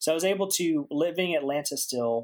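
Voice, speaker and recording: Speaking at a fairly quick pace, a man talks in a Southern US accent. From US South, Aiken, South Carolina. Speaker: animator. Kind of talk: casual chat.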